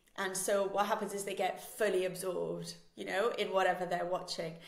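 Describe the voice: A woman speaks at medium pitch with vocal fry. Audible room echo surrounds her voice.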